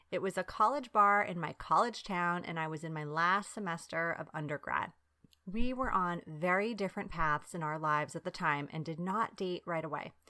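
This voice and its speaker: With an American accent, the voice comes across as bright, sharp and animated at a moderate pace with ordinary pitch variation, recorded very cleanly with a silent background. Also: woman, fairly low pitch for a woman. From US Northeast, Long Island, New York, and Bari, Italy. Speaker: podcast host. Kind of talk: casual monologue.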